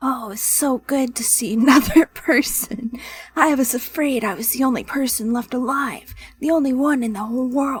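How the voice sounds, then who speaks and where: In a put-on character voice, a female-sounding speaker sounds raspy and high-pitched at a moderate pace. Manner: relieved, emotional.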